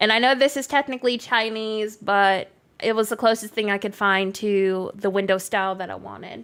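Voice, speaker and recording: A fairly high-pitched woman's voice at a moderate pace, with ordinary pitch variation, in a very clean recording over a silent background. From Canada. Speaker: gaming streamer. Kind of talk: live stream gameplay chat. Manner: casual, chatty.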